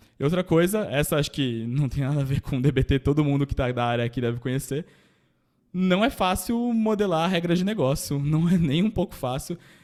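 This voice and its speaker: The background is silent and the recording very clean. A man's speech moves along at a fairly quick pace. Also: fairly high pitch for a man. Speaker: data engineer panelist. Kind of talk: panel presentation. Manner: casual, hesitant fillers.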